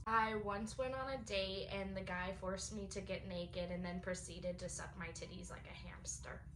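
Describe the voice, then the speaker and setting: Over noticeable background noise and audible room echo, a woman talks at a moderate pace with hardly any pauses. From US West (Las Vegas). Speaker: participant in group trauma-dump video. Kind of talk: casual confessional round.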